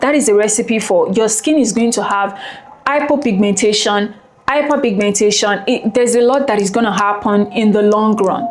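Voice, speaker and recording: Heard through audible room echo and noticeable background noise, a woman with a fairly high pitch speaks at a moderate pace, her loudness very even and her pitch variation ordinary. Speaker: beauty and skincare YouTuber. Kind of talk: product review vlog. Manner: soft-spoken; animated.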